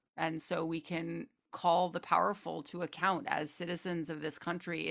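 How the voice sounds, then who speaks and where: A woman with an American accent and vocal fry, fairly even intonation and hardly any pauses. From Connecticut and Washington DC area. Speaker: playwright and novelist. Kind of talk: interview. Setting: video call.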